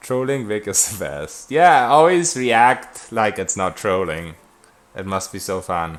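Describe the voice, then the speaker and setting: A man talks at a fairly slow pace in a German accent. His fairly low pitch swings very widely. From Germany. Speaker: video game streamer. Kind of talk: live gameplay stream, reading and answering chat. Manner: casual, conversational.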